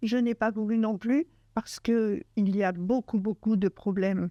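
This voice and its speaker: Over a quiet background, a woman speaks fairly slowly in a fairly high, dark and mellow voice with ordinary pitch variation, the sound dry and close with no echo. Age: 70s. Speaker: cancer survivor. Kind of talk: testimony. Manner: halting, many hesitations.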